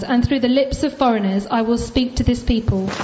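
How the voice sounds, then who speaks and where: The woman here keeps a moderate pace. Behind her, noticeable background noise is audible. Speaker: congregation member reading scripture. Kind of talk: reading aloud. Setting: church.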